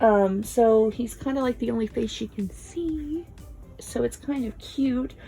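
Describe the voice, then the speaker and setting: A woman speaks quietly with music in the background. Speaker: video creator reviewing films. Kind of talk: casual recommendations vlog. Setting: at home, early morning. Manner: quiet, subdued.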